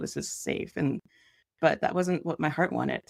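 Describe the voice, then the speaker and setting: A woman with a non-native accent speaks at a fairly quick pace, her intonation fairly even. There is vocal fry, and the sound is dry and close with no echo. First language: not English. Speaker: artist and author. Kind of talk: interview. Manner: casual, hesitant.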